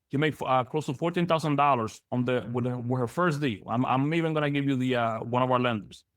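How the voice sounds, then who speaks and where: A man speaks very fast, his loudness kept very even throughout. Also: medium pitch for a man, ordinary pitch variation, hardly any pauses. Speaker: business loan broker trainer. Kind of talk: webinar training presentation. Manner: halting, many repetitions.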